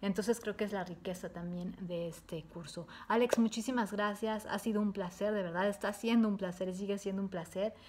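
Against noticeable background noise, a woman speaks at a fairly quick pace with hardly any pauses, her voice somewhat breathy and her intonation fairly even. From Mexico. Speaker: entrepreneur giving a course testimonial. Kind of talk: testimony. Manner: hesitant, many fillers. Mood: warm, positive. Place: home room. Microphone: webcam.

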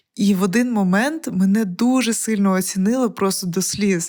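The recording is very clean, and the background is silent. Delivery is fairly slow, and the pitch varies in an ordinary way. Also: woman. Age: 30s. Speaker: podcast host, producer. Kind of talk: motivational talk. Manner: animated.

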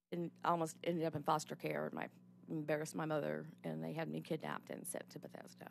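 A woman at a very fast pace, dry sound with no echo, light background noise. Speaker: abuse survivor testifying at legislative hearing; witness. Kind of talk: testimony. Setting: legislative committee hearing room. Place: hall. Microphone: podium.

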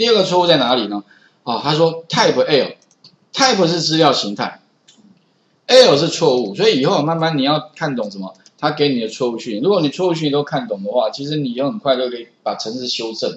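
A man's voice with very wide pitch swings, big swings in loudness and a fairly quick pace. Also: fairly high pitch for a man. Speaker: programming instructor. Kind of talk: classroom lecture. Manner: frequent filler particles.

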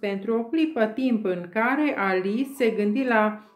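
The delivery is an unforced reading voice. Its pitch variation is ordinary.

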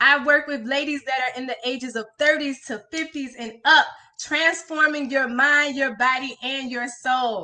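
A woman speaks in a raised, projected voice at a fairly slow pace. Her intonation stays fairly even. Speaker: transformation coach. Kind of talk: live stream motivational talk. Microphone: phone near.

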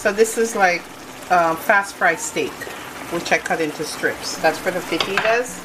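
Noticeable background noise behind speech at a moderate pace. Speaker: home cook vlogger. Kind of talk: casual cooking tutorial. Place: kitchen. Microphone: phone near.

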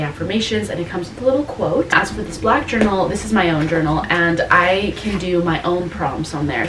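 A woman talks at a very fast pace. Noticeable background noise runs underneath. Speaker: lifestyle vlogger. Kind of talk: casual vlog chat. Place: home room. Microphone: camera far.

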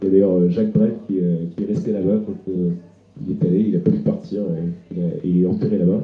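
A man speaks at a moderate pace. Audible room echo is present. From northern France, Dunkirk; France. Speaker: travel writer; guest. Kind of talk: literary talk before an audience. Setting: restaurant with live audience. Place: home room. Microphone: handheld.

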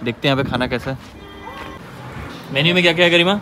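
Faint music plays in the background. A man speaks in a bright, sharp tone.

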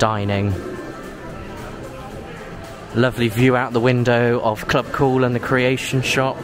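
Faint music plays in the background as a man talks at a fairly slow pace in a monotone, flat intonation, with a dry sound and no echo. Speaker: theme park vlogger. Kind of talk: casual vlog chat. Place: hall. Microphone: phone near.

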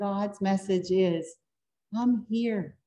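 Speaking with an American accent, the woman has a dark, mellow tone. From US South. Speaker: pastor. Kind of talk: sermon. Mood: warm, earnest. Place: church. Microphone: podium.

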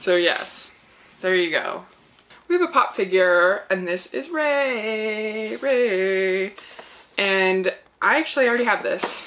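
A woman talks with very wide pitch swings, leaving long, frequent pauses. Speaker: unboxing reviewer. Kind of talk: casual vlog chat. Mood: cheerful, laughing. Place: home room.

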